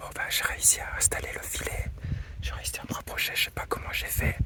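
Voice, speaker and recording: The speaker whispers at a moderate pace. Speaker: wildlife photographer vlogger. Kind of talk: outdoor nature vlog. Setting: outdoors in forest clearing. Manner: whispering.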